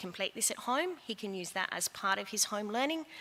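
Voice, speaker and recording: This woman has an Australian accent and a medium-pitched voice. Her intonation is lively. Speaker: head of year at a school. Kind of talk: school information evening talk to parents. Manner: fast.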